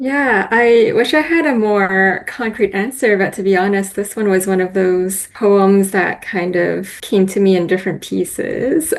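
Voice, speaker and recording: With a Canadian accent, the speaker moves at a fairly slow pace with hardly any pauses and ordinary pitch variation over noticeable background noise. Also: woman, medium pitch for a woman. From Vancouver, Canada. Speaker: haiku poet. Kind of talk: interview. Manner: thoughtful, hesitant.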